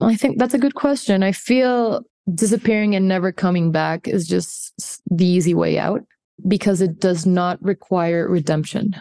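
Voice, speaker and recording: A woman talks at a moderate pace in a dark, mellow tone with very even loudness. The sound is dry and close with no echo. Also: medium pitch for a woman, ordinary pitch variation. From Colombia. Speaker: filmmaker. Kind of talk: interview. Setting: video call.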